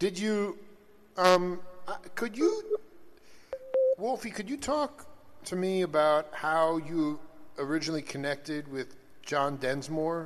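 A man's high voice at a very slow pace, with long, frequent pauses and ordinary pitch variation. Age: 40s. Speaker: radio host. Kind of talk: casual interview chat. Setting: studio. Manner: animated.

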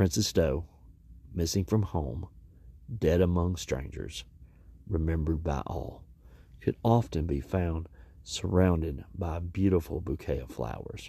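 A man speaks in a very deep, low voice with a dark, mellow tone, vocal fry and a dramatic tone, at a fairly slow pace with long, frequent pauses. His pitch varies in an ordinary way, and the recording is very clean with a silent background. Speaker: podcast host. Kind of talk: true-crime narration, scripted news-style retelling. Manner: grave, measured, somber; dramatic emphasis, repeats key words ('today, yes, today').

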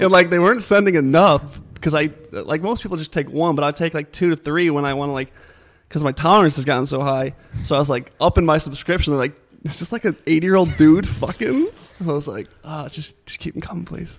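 Very fast speech from a man with a fairly high voice, ordinary pitch variation, and music in the background. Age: 20s. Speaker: social media creator. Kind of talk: casual chat.

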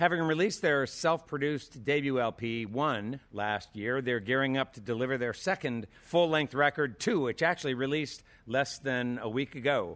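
In an ordinary speaking voice, a man speaks at a moderate pace and medium pitch with ordinary pitch variation and hardly any pauses. The recording is very clean, with a silent background. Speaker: radio host. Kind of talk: interview. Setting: stage with audience.

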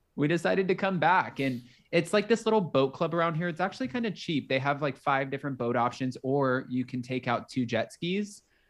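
A man with an American accent talks at a fairly quick pace with hardly any pauses, and the background is quiet. His fairly high voice carries lively intonation. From Florida, Palm Beach County. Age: 20s. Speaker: YouTuber, reality TV commentator. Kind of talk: casual chat. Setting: video call. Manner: animated.

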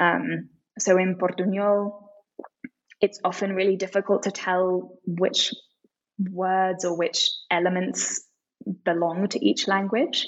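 Speaking very slowly with long, frequent pauses, a woman with a British accent keeps a medium pitch and fairly even intonation. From UK, partly raised in Tokyo. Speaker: author and literary translator. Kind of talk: interview.

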